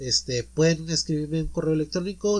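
A man is speaking. He has a Mexican accent. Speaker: podcast host. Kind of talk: casual chat.

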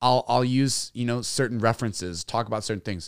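A man's unremarkable speaking voice at a medium pitch and fairly quick pace, with ordinary pitch variation, in a dry, close sound with no echo on a very clean recording with a silent background. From Texas, San Antonio. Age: 30s. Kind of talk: casual interview. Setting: studio.

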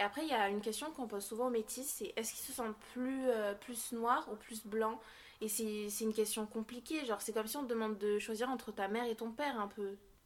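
The speech moves at a fairly quick pace. Intonation stays fairly even. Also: woman, fairly high pitch for a woman. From Basque Country, France. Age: young. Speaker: interviewee sharing experience of racism. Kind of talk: testimony. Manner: halting.

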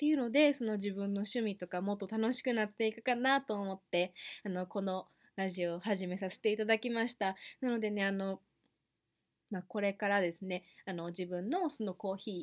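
At a moderate pace, a woman with a Kansai accent speaks at a medium pitch. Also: ordinary pitch variation. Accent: Kansai Japanese. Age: 20s. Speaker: podcast host. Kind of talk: casual solo podcast talk.

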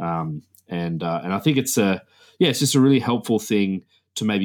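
On a very clean recording with a silent background, a man with an Australian accent speaks at a moderate pace and a fairly low pitch with lively intonation. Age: 30s. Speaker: history teacher. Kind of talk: casual interview. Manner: hesitant, repeats words.

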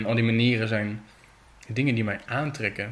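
The speaker is a man with a fairly low pitch. His pace is moderate. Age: 20s. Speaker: artist. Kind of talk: casual chat. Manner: halting.

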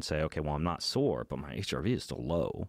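Vocal fry comes through at a very fast pace. The sound is dry and close with no echo, in a very clean recording with a silent background. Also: man. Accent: American. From Idaho, US. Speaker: fitness coach and author. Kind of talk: casual chat. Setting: studio.

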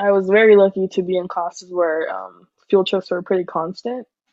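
A woman's normal speaking voice at medium pitch. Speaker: podcast host. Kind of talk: casual chat.

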